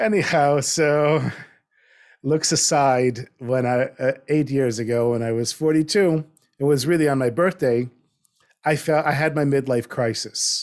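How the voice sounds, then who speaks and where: Speaking fairly slowly with a normal speaking voice, a man with an American accent has a fairly high pitch and ordinary pitch variation. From US South, North Miami Beach. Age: 50s. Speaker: storyteller and writer. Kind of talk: interview conversation. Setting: video call.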